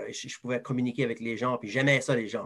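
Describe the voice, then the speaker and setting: This man speaks with an Acadian accent. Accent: Acadian French (southeast New Brunswick). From southeast New Brunswick, Moncton area (Acadian). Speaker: advertising sales professional. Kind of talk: interview.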